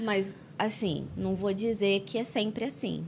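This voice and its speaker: A woman is speaking. Her voice has vocal fry. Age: 30s. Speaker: podcast host. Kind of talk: casual interview chat.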